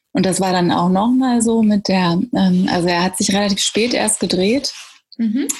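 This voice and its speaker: Speaking at a moderate pace, a woman with an unremarkable speaking voice keeps a medium pitch, ordinary pitch variation and very even loudness. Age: 30s. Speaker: mother sharing birth story. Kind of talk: interview about personal birth experience.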